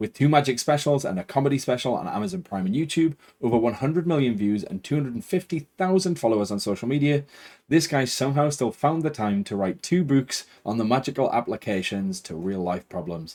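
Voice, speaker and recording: A man with a Geordie accent speaks at a fairly quick pace, his pitch fairly high with very wide swings. His tone is dark and mellow. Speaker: podcast host. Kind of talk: interview; scripted introduction. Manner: authoritative.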